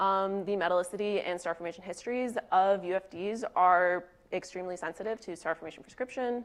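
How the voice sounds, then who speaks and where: A woman's unremarkable speaking voice at medium pitch, fairly quick in pace, with fairly even intonation. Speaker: researcher presenting a talk. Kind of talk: conference talk.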